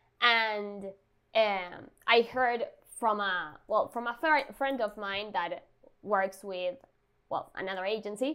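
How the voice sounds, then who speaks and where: A woman with a Spanish accent speaks at a very slow pace, with long, frequent pauses. Her tone is bright and sharp, with ordinary pitch variation. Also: medium pitch for a woman. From Argentina, Buenos Aires. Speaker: designer. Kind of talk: interview.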